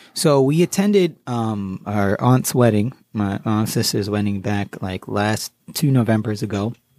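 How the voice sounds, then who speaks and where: A man with an ordinary speaking voice talks in an American accent at a fairly low pitch and fairly slow pace. His pitch variation is ordinary, and the sound is dry and close with no echo. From US Connecticut. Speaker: guest, finance author and artist. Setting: studio. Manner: easygoing, upbeat and chatty; fills lines with 'you know' and overlapping thank-yous.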